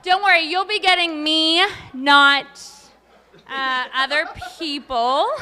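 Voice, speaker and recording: At a very slow pace with long, frequent pauses, a woman uses a raised, projected voice at high pitch, with big swings in loudness and ordinary pitch variation. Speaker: teacher demonstrating auction item. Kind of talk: live demonstration at auction.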